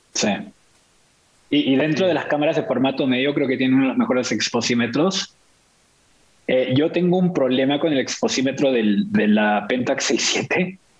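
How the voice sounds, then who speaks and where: Over noticeable background noise, a man speaks at a moderate pace and medium pitch with lively intonation, very even loudness, and long, frequent pauses. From Chile, Santiago; also raised in Venezuela, Mexico, Brazil. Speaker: tech marketing worker, photographer. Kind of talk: casual chat. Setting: video call.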